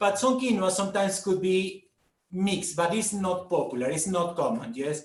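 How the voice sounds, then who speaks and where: A man speaks in a Peruvian accent. His voice is high in pitch. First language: Spanish. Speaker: food guide. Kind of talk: online talk, Q&A. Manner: halting with fillers.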